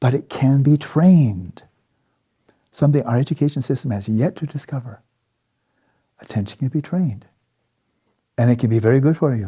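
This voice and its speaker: A somewhat breathy voice with a dark, mellow tone and ordinary pitch variation. It moves at a fairly quick pace, broken by long, frequent pauses. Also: man, medium pitch for a man. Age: 70s. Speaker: Buddhist meditation teacher. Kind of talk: dharma talk. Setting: meditation retreat. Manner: halting.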